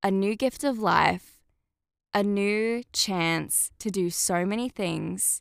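A woman with an Australian accent speaks at a medium pitch and a very slow pace, in a very clean recording with a silent background and a dry, close sound with no echo. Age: 20s. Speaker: podcast host. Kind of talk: casual monologue.

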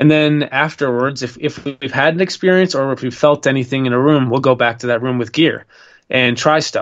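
Using an ordinary speaking voice with an American accent, a man talks at a fairly quick pace in a medium pitch with fairly even intonation. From Minnesota, US. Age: 20s. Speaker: TV paranormal show host and filmmaker. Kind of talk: podcast interview.

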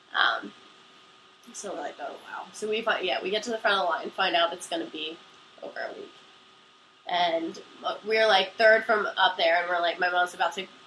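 A woman with an American accent, long and frequent pauses, fairly even intonation and big swings in loudness, over noticeable background noise. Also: medium pitch for a woman. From Pennsylvania. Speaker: college student telling a personal story. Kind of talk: casual storytelling. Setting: recording on a couch at home. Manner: fast, run-on.

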